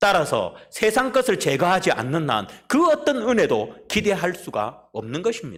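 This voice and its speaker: A man speaks at a moderate pace. He barely pauses at all. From South Korea, Busan. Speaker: pastor. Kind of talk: sermon. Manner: emphatic.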